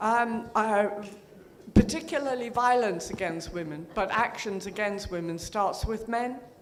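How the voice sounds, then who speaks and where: The room echo is audible. The delivery moves at a fairly slow pace. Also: woman. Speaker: audience member asking question. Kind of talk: conference Q&A. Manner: halting, many fillers.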